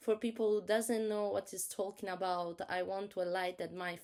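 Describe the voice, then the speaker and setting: A woman speaks with an Italian accent at a medium pitch. Her intonation is fairly even. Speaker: author. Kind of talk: casual talk to viewers. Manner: halting.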